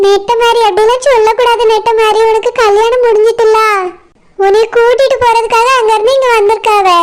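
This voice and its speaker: A cartoonish character voice in monotone, flat intonation at a moderate pace. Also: woman, extremely high pitch for a woman. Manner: gentle, persuasive.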